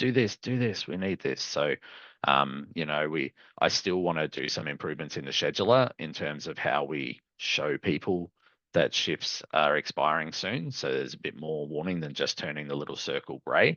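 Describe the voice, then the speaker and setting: A man with an Australian accent, very deep and low in pitch, with vocal fry. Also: lively intonation, moderate pace. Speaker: software company customer success manager presenting a webinar. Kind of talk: live product webinar demo. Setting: online webinar with screen share.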